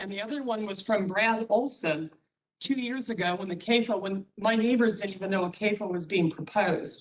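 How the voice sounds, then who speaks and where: A woman talks in the middle of her pitch range, varying it in the usual way. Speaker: cheese producer, public commenter. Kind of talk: public comment at county meeting. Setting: public meeting. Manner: fast.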